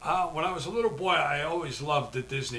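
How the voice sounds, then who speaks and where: Noticeable background noise and audible room echo around a man with an American accent. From New Jersey, Jersey City. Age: 70s. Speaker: artist and martial arts instructor, retired postmaster. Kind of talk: casual interview. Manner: halting, frequent fillers.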